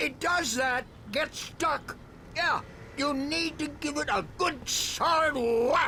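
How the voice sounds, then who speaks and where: Someone uses a high-pitched put-on character voice, speaking very slowly over clear background noise. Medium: video game. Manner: easygoing.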